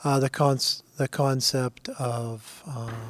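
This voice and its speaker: A soft-spoken man with fairly high pitch talks in a monotone, flat way. The sound is dry and close, with no echo. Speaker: state legislator. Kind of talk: committee hearing remarks. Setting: committee roundtable hearing.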